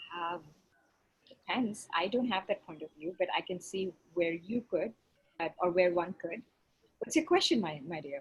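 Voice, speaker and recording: Somewhat breathy, a woman speaks at a fairly low pitch and a moderate pace with ordinary pitch variation. She leaves long, frequent pauses. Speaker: facilitator of group coaching call. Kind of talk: group coaching call.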